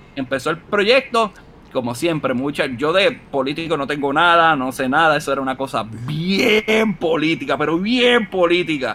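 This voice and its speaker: An animated tone with lively intonation at a moderate pace. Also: man, fairly high pitch for a man. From Puerto Rico, Utuado. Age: 30s. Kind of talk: casual interview.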